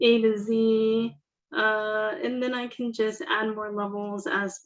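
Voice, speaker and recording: With ordinary pitch variation and a fairly high pitch, a woman talks in an ordinary speaking voice. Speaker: Salesforce admin presenter. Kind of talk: software tutorial presentation. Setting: virtual user group meeting.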